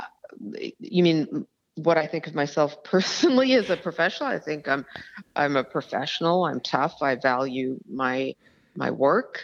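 Lively intonation marks this woman's very deep, low voice. The background stays quiet. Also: moderate pace. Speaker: criminal defence lawyer and author. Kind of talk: interview. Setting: phone call. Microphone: telephone line.

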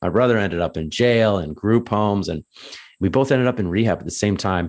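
A man speaks with a Canadian accent. His pitch varies in an ordinary way. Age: 30s. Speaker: addictions counsellor and coach. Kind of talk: casual interview chat. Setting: call.

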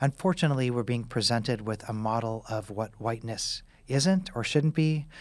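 A man's medium-pitched, a plain, everyday voice, with ordinary pitch variation. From US Midwest, Kansas City. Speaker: author and medical professor. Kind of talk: interview.

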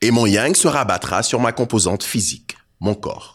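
On a very clean recording with a silent background, a plain, everyday voice speaks at a moderate pace. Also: man. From Côte d'Ivoire. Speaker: poet and rapper. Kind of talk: spoken word performance. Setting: stage with audience.

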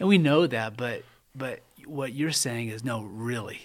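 A man's normal speaking voice at medium pitch, with ordinary pitch variation, on a very clean recording with a silent background. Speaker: church men's pastor and podcast host. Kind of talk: interview, conversational.

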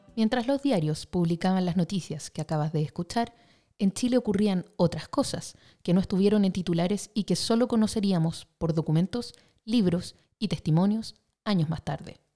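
Speaking at a moderate pace, a woman has a medium-pitched, somewhat breathy voice with a dark, mellow tone, ordinary pitch variation, and a dry, close sound with no echo. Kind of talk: news reading. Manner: formal, brisk newsreader cadence; even, solemn delivery of headlines.

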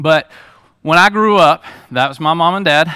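In a very clean recording with a silent background, a man with a fairly high pitch and a bright, sharp tone talks at a moderate pace in an animated tone. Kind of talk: testimony. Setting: church with audience. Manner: casual, conversational and animated, joking with the crowd; earnest, storytelling preacher style with "man" fillers.

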